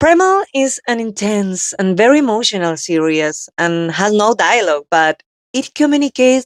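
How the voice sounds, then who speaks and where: Heard in a dry, close sound with no echo, a woman speaks fairly slowly at a fairly high pitch with very wide pitch swings. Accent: Spanish. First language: Spanish. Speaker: actress and interviewer. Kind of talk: interview.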